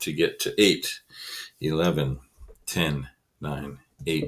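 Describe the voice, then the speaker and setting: Vocal fry marks a man speaking at a very slow pace with ordinary pitch variation. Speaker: elementary school teacher. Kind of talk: tutorial.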